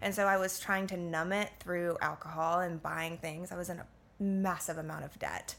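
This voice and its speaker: A woman with an American accent uses an ordinary speaking voice, medium in pitch, with fairly even intonation at a moderate pace. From Florida, US (Orlando). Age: 20s. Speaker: yoga and meditation teacher. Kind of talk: casual chat.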